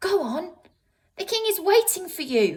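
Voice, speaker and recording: A woman uses a put-on character voice, squeaky and extremely high in pitch. She speaks at a moderate pace. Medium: read story.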